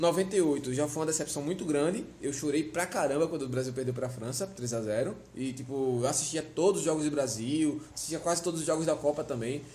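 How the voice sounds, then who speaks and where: Speaking at a fairly quick pace, a man uses an ordinary speaking voice, fairly high in pitch with ordinary pitch variation. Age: 20s. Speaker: podcast host. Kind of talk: casual chat. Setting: on location in Fortaleza.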